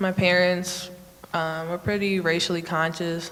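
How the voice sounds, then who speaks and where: Amid noticeable background noise and audible room echo, a woman with an American accent and a medium pitch speaks at a very slow pace. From Oak Park, Illinois. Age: young. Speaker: panelist. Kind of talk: panel discussion.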